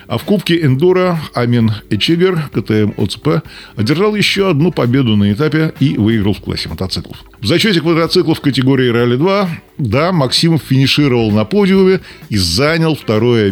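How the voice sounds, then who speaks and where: There is noticeable background noise while a man talks at a moderate pace. His pitch swings very widely. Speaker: radio host. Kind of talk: race report, scripted-sounding radio narration of stage results.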